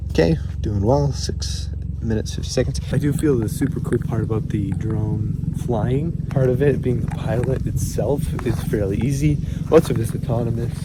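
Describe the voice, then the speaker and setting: Amid noticeable background noise and audible room echo, a man speaks at a moderate pace, his fairly low pitch swinging very widely. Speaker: drone pilot YouTuber. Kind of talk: outdoor vlog narration. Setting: outdoors in winter, partly in car. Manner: soft-spoken.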